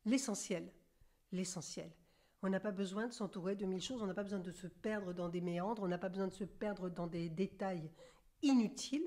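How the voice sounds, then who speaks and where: A woman at medium pitch with a dark, mellow tone, speaking at a moderate pace. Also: ordinary pitch variation. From central France. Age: 60s. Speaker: medium and author. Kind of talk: interview.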